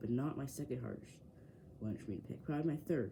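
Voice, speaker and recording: This man has a dark, mellow, somewhat breathy voice at medium pitch. He talks at a fairly quick pace. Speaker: sports YouTuber. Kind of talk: casual bracket predictions. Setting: home man cave near window. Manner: fast; hesitant with fillers.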